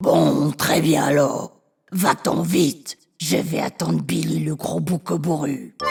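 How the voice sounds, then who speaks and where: A man's growling, cartoonish character voice, fairly high and fairly slow. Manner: gruff, threatening.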